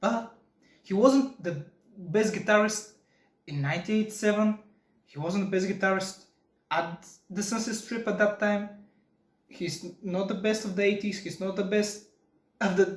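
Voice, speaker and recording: High male voice with a non-native accent, fairly even intonation, moderate pace and long, frequent pauses. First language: not English. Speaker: guitar podcaster. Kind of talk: casual chat. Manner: halting.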